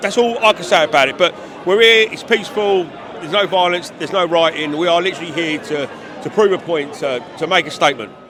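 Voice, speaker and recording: Over noticeable background noise, a man with an English accent talks very fast in a high pitch with ordinary pitch variation. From England. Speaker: rally attendee, hoodie seller. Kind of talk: street interview. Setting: outdoors at a rally. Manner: halting.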